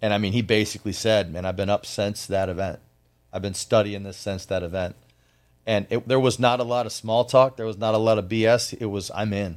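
An ordinary speaking voice at a fairly quick pace, fairly even in intonation, in a very clean recording with a silent background. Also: man, fairly low pitch for a man. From US Midwest, Flint, Michigan. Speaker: business owner. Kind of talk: interview.

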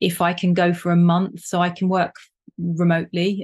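Against a quiet background, a woman speaks at a fairly low pitch and a moderate pace. Her intonation stays monotone and flat. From Jersey, Channel Islands. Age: 40s. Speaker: former pro snowboarder. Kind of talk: casual chat.

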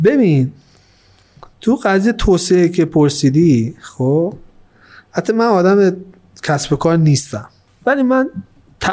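A man speaks at a very slow pace with long, frequent pauses and a high pitch. His dark, mellow tone swings very widely in pitch while the loudness stays very even. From Iran, Zeinabad. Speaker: eco-lodge owner. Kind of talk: casual interview.

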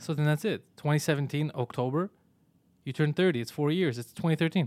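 Fairly quick and fairly high-pitched, a man speaks with ordinary pitch variation. His tone is slightly mellow.

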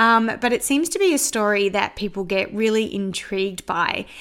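Speaking with an Australian accent, a woman uses a fairly high pitch. Her pitch variation is ordinary. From Australia, Sydney northwest suburbs. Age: 40s. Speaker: podcast host, spiritual practitioner. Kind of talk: personal storytelling monologue.

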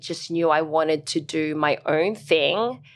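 Over a silent background in a very clean recording, a woman speaks at a very slow pace. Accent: Australian. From Australia, Brisbane. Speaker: dancer and fitness instructor. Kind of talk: interview.

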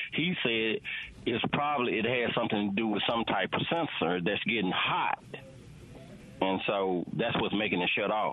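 There is noticeable background noise as a man with a Southern US accent speaks at a moderate pace and medium pitch. His loudness stays very even, and his pitch variation is ordinary. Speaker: caller. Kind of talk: call-in question. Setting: phone call.

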